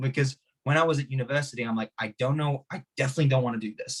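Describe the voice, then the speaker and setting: Somewhat breathy, a man talks at a very fast pace. His medium pitch shows ordinary variation. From Hungary. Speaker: martial arts teacher and podcast guest. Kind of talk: podcast interview.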